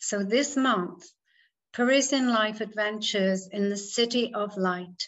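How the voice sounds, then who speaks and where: A woman speaks in an ordinary speaking voice. Her intonation is fairly even and her pace fairly slow. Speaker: event host introducing speaker. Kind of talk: formal introduction.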